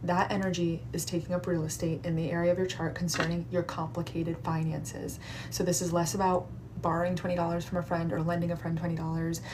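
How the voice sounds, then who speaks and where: Audible room echo surrounds a woman speaking very fast at a fairly low pitch. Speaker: astrologer doing live readings. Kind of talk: live stream astrology readings. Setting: TikTok live stream. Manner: animated.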